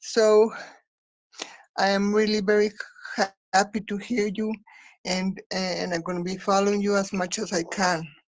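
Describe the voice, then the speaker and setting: A woman speaks at medium pitch and a moderate pace. Her intonation is monotone and flat, with long, frequent pauses. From Mexico. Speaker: activist from a popular artists' organization. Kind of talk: online forum discussion. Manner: halting.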